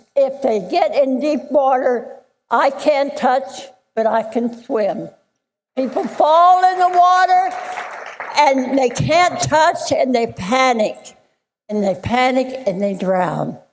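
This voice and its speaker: A high-pitched woman speaking very slowly with lively intonation, crowd noise behind her. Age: 90s. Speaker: swimming instructor, hall of fame inductee. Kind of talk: acceptance speech. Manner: halting.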